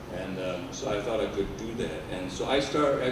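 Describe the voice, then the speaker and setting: A man speaks with noticeable background noise. The room adds an audible echo. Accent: German. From Germany. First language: German. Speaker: organizational consultant and behavior analyst. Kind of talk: lecture.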